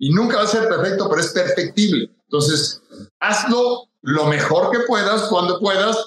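A man talks at a moderate pace. His voice is high in pitch. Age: 60s. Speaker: endurance athlete and speaker. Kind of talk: interview.

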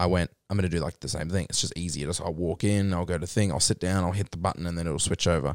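A man's very deep, low voice at a very fast pace, with fairly even intonation and hardly any pauses. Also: dry, close sound with no echo. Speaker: podcast host. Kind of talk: casual chat. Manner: informal, swears casually.

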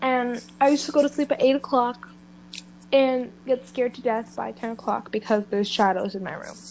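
Moderately paced speech with ordinary pitch variation and big swings in loudness. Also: woman. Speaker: host's friend. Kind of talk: casual chat.

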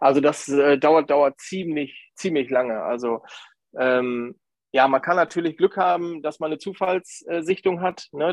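His voice is pitched fairly high. The man's pitch variation is ordinary. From Lower Saxony, Grafschaft Bentheim near Dutch border. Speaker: nature photographer. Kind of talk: podcast interview. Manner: hesitant, many fillers.

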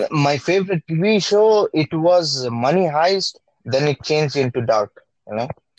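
Speaking at a fairly slow pace, a man uses a fairly high pitch and lively intonation in a dry, close sound with no echo. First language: Bengali. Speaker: podcast co-host. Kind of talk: casual chat.

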